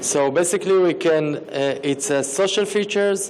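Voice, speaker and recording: A man with a non-native accent and lively intonation, at a fairly slow pace, over noticeable background noise. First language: not English. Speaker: startup founder pitching. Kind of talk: pitch Q&A answer. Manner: halting, many fillers.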